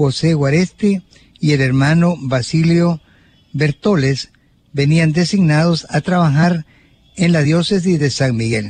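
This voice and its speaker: Recorded with a dry, close sound and no echo, a man speaks at a very slow pace and fairly high pitch with ordinary pitch variation. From El Salvador, Suchitoto. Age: 70s. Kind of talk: religious teaching talk, partly reading aloud.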